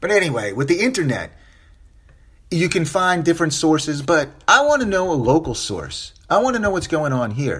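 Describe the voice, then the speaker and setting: The speaker sounds animated, with very wide pitch swings and some vocal fry. The pace is moderate. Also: man, fairly high pitch for a man. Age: 40s. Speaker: podcast host. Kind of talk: solo podcast commentary.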